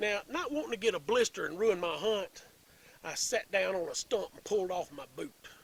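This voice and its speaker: A man with a Tennessee accent, a high pitch and lively intonation, at a moderate pace, with big swings in loudness. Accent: Southern US, Tennessee. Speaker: storyteller. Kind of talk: humorous hunting tale.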